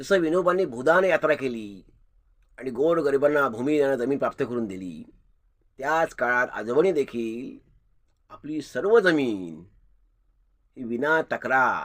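With an unremarkable speaking voice, a man speaks at a fairly high pitch and uses lively intonation. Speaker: channel host, grandson paying tribute. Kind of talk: commemorative monologue.

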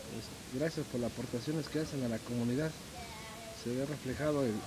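A man at a medium pitch, moderate pace and fairly even intonation, over noticeable background noise. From Hidalgo, Mexico. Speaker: local community member interviewed at fair; interviewee. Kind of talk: casual street interview. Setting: outdoors at village fair.

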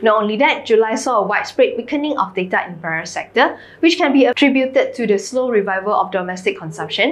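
A woman's fairly high voice at a very fast pace. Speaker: finance news presenter. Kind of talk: newsreading: scripted financial bulletin, polished and businesslike. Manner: steady, even, formal; brisk, crisp delivery. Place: studio.

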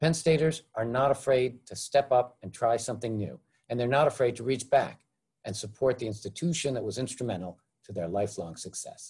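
Over a quiet background, a man speaks at a fairly quick pace, somewhat breathy. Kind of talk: formal welcome speech. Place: home room. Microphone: webcam.

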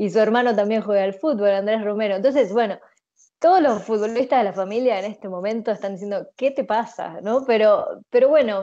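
Against a quiet background, a woman with a fairly high pitch and a dark, mellow tone speaks at a moderate pace with ordinary pitch variation in a Rioplatense accent. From Uruguay. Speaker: interviewee, expatriate. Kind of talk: interview answers. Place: home room. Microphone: earbuds.

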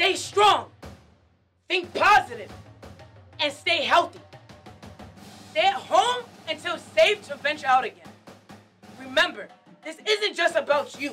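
A woman talks in a raised, projected voice at an extremely high pitch, with lively intonation and a fairly slow pace. Faint music plays in the background. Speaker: Marine Corps drill instructor. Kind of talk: motivational address to camera. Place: studio.

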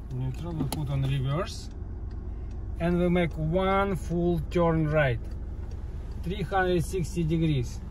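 A very slow pace with long, frequent pauses, light background noise and a dry sound with no echo. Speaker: driver demonstrating parking. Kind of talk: tutorial. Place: car.

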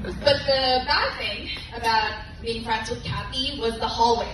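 Over clear background noise, a woman with a fairly high voice talks at a fairly slow pace with ordinary pitch variation.

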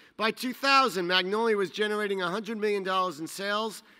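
Over a quiet background, a man projects his raised, high voice with a bright, sharp tone at a moderate pace. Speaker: trade association executive. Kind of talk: awards ceremony introduction. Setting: stage with audience. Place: hall. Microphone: podium.

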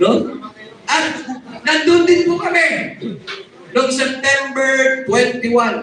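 Amid noticeable background noise and audible room echo, a man speaks in a raised, projected voice at an extremely high pitch, with ordinary pitch variation, a very slow pace and long, frequent pauses. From Zamboanga region, Philippines. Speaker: activist group leader. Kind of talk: rally speech.

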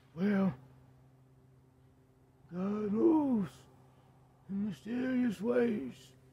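Putting on a character voice, a man speaks at a very slow pace with a high pitch, very wide pitch swings, and long, frequent pauses. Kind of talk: comic old-man impression. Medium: comedy sketch. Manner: slow, folksy, dialect-heavy.

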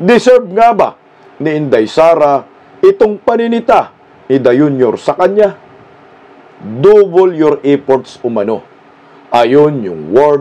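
Very slow speech from a man, with long, frequent pauses and very wide pitch swings. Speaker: political commentary vlogger. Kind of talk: commentary. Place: home room.

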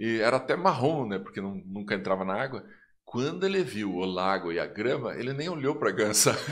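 Against a quiet background, the voice moves at a fairly quick pace with very wide pitch swings. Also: man. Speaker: educator and podcast host; guest. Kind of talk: casual interview. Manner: warm, enthusiastic. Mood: warm, amused storytelling. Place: studio. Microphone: studio mic.

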